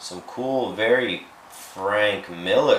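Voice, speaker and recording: A man talks while noticeable background noise and audible room echo fill the recording. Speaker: toy and collectibles vlogger. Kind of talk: casual chat. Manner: casual, with frequent fillers.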